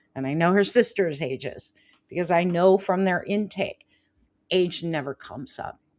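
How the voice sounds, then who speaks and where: An unremarkable speaking voice from a woman with an American accent, fairly low in pitch, at a moderate pace, with ordinary pitch variation and big swings in loudness. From California. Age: 50s. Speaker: life coach and healer. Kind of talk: live show chat.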